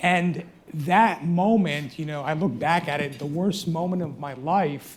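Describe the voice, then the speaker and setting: In an American accent, a man talks at a high pitch with ordinary pitch variation. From United States. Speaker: trauma surgeon. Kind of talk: panel discussion.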